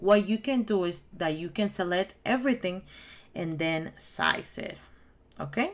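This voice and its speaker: In a Spanish accent, a woman speaks at a medium pitch with ordinary pitch variation and a fairly slow pace. The recording is very clean, with a silent background. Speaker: crafting YouTuber. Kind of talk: tutorial; casual chat. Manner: halting.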